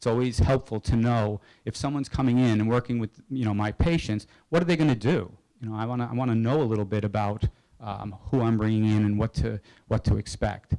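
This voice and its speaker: A man talks very fast with ordinary pitch variation, in a dry, close sound with no echo. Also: medium pitch for a man. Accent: American. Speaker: psychologist presenter. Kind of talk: lecture.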